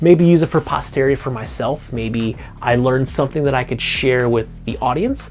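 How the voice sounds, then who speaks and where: A man talks fairly quickly. Background noise is noticeable throughout. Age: 40s. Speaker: hobbyist guitar youtuber. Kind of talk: casual vlog monologue. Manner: rambling, hesitant with repetitions.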